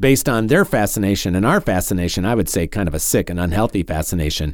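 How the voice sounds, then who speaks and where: A man with an American accent talks at a fairly quick pace on a very clean recording with a silent background. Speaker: talk radio host, podcast host. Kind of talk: podcast commentary.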